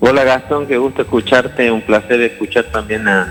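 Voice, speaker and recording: Music plays in the background as a man speaks. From Argentina, Jujuy (San Pedro). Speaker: infectious disease doctor. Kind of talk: interview. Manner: halting, many repetitions.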